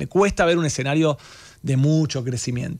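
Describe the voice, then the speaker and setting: The pace is fairly quick. The background is quiet. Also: man. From Argentina. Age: 40s. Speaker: economist; guest. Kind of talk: radio interview. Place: studio. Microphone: studio mic.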